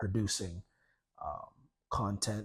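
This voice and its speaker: A man's quiet voice, dark and mellow in tone, at a very slow pace. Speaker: debut novelist, writer and content producer. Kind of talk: casual interview. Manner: halting, many fillers and restarts; quiet, introverted.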